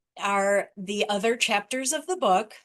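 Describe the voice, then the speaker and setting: A woman's medium-pitched voice, an ordinary speaking voice. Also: quiet background. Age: 60s. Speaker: author and athlete with type 1 diabetes. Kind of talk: presentation.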